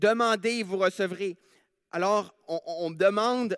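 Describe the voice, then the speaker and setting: The speech moves at a very slow pace with ordinary pitch variation, and the sound is dry and close with no echo on a very clean recording with a silent background. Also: man. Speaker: preacher. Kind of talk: sermon in church, with prayers. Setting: church. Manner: earnest, conversational, often hesitant with fillers.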